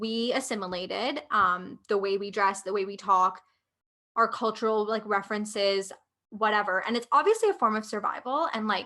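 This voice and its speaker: A woman speaks in a Canadian accent at a moderate pace, her pitch fairly high. Her tone is bright and sharp, and her intonation stays fairly even. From India, raised in Canada from childhood. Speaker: podcast co-host. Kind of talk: casual chat.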